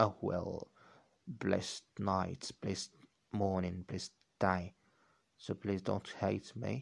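A man speaks at a very slow pace with a very deep, low voice and vocal fry, leaving long, frequent pauses. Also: fairly even intonation. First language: not English. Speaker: podcaster practicing English. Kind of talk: solo monologue on language learning. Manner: halting, with many restarts.

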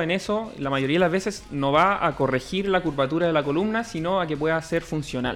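With music playing behind him, a man speaks fairly quickly in a fairly high voice. His pitch varies in an ordinary way. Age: 20s. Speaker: physiotherapist. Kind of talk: casual interview.

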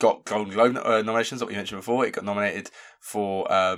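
A man speaks with a British accent. His pitch sits fairly low, and his intonation stays flat and monotone. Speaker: film review podcast host. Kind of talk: casual chat. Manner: quieter than usual.

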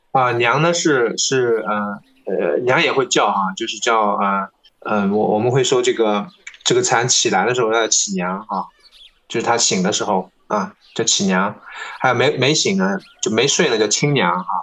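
With long, frequent pauses, a man talks at a moderate pace in a medium pitch, his intonation lively. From Tongxiang, Zhejiang, China. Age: 30s. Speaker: silkworm farmer and podcast host. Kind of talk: interview. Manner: halting, many fillers.

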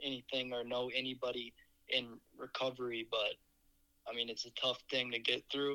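A man speaks at medium pitch with a bright, sharp tone. His intonation is monotone and flat. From Minnesota, US (Eagan). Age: 19. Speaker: podcaster in addiction recovery. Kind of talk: personal testimony. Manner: hesitant, frequent filler words.

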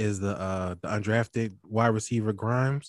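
A man with a Philadelphia accent speaks at a medium pitch with ordinary pitch variation, and the sound is dry and close with no echo. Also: quiet background. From Philadelphia, US. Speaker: fantasy football podcaster. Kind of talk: casual sports chat.

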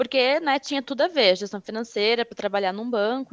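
Recorded with a dry, close sound and no echo, a woman speaks in a high voice. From Rio Grande do Sul, southern Brazil. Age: 20s. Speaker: HR consultant. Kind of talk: interview.

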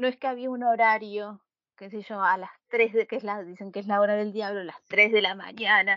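With an unremarkable speaking voice, a woman talks at a moderate pace and medium pitch, using fairly even intonation but big swings in loudness. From Buenos Aires, Argentina. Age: 30s. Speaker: podcast co-host. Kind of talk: casual chat.

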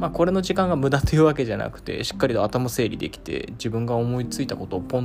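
Over noticeable background noise, a man talks very fast at a medium pitch, his pitch swinging very widely. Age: 20s. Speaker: podcast host. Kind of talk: casual solo monologue.

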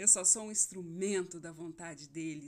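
A woman with a normal speaking voice talks at a moderate pace, medium in pitch, with fairly even intonation. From Brazil, Mato Grosso (Rondonópolis). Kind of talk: devotional talk. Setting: home recording at night. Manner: warm, informal.

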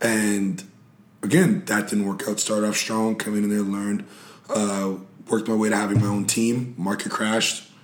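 Amid noticeable background noise and audible room echo, a man speaks at a moderate pace with fairly low pitch and fairly even intonation. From Montreal, Quebec. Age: 30s. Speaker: comedian and actor. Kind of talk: casual chat.

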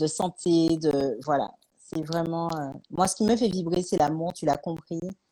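A woman's dark, mellow voice, fairly low in pitch with ordinary pitch variation, at a fairly slow pace. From Martinique. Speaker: author and life coach. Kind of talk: live-streamed interview. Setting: live stream.

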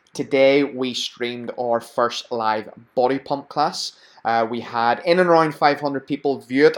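A man with a Belfast accent talks at a medium pitch. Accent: Belfast, Northern Irish. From Belfast, Northern Ireland. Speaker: podcast host and fitness entrepreneur. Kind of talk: casual interview.

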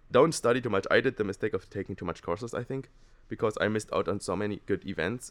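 The speaker has a German accent and talks at a fairly quick pace. The recording is very clean, with a silent background. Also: man. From Germany. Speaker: exchange student. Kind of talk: casual chat. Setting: studio.

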